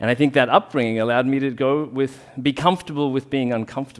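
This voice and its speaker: A man with an Australian accent, at a fairly quick pace with ordinary pitch variation. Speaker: rolfing bodyworker. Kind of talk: public talk.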